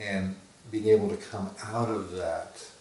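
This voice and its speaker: Audible room echo, noticeable background noise, and a fairly slow delivery. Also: man. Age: 60s. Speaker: psychologist and author. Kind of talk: interview.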